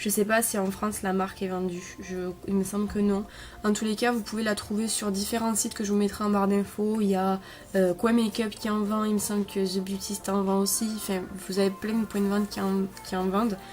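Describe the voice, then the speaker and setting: At a fairly quick pace, a woman speaks in a monotone with flat intonation and medium pitch. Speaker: beauty vlogger. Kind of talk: product review. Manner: hesitant, many fillers.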